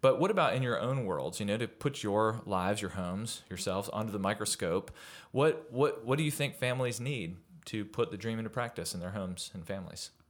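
A man in an ordinary speaking voice at medium pitch, fairly quick and lively in intonation, in a very clean recording with a silent background. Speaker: podcast host. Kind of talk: podcast interview. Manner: warm, upbeat.

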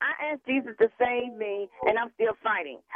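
This woman's voice sits high in pitch, and her speech proceeds at a moderate speed. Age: 60s. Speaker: caller, churchgoer. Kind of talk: testimony. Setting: phone call. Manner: emphatic, repetitive preaching style.

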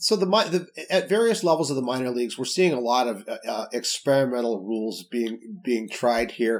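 A man with an American accent talks at a moderate pace and medium pitch, with lively intonation, in an unremarkable speaking voice. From Salt Lake City, Utah. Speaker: baseball writer.

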